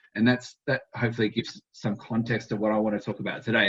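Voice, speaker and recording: A man speaks in an Australian accent at a fairly low pitch. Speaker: dairy vet and animal health researcher. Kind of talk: conference presentation. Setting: conference talk to an audience. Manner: hesitant, with many fillers and repetitions.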